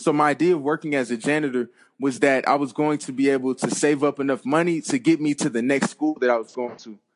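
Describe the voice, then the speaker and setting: Against a quiet background, a man with an American accent talks at a very fast pace in a fairly high pitch with ordinary pitch variation. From US West Coast (Compton, Los Angeles). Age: 20s. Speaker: former college football player and author. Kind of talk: interview.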